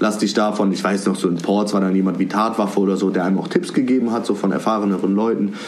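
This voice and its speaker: Over noticeable background noise and audible room echo, a man talks at a very fast pace with very even loudness. His fairly low voice has a monotone, flat intonation. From Cologne, Germany. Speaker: rapper. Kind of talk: casual interview chat. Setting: video call from home.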